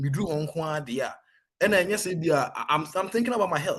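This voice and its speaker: A fairly quick pace in a Ghanaian accent. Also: man. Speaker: soldier. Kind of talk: interview testimony. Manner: code-switching Twi and English.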